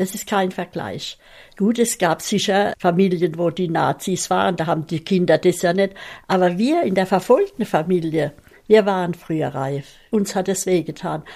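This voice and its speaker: A woman at medium pitch talks at a moderate pace with ordinary pitch variation and a dark, mellow tone, on a very clean recording with a silent background. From Mannheim, Germany. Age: 90s. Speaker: contemporary witness. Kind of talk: interview testimony. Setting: at home. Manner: lively.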